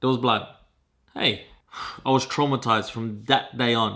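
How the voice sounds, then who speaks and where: The speaker has an Australian accent and an animated tone, talking at a moderate pace. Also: man. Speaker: vlogger. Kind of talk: casual vlog monologue. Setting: outdoors.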